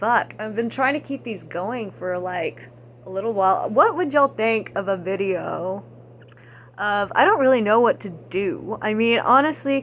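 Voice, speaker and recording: A woman with an American accent, fairly high in pitch, at a moderate pace amid noticeable background noise. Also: lively intonation. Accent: Texan, stronger when angry and with age. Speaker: vlogger. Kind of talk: casual monologue vlog. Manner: rambling, halting with many fillers.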